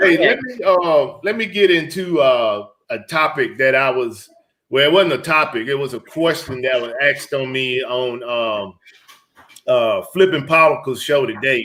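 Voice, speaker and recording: A man with a fairly high pitch talks at a moderate pace in a Southern US accent. His tone is bright and sharp, and his intonation is lively. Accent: Southern country. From Georgia, US South. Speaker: reseller livestream host, retired military. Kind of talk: casual live stream chat. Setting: live stream.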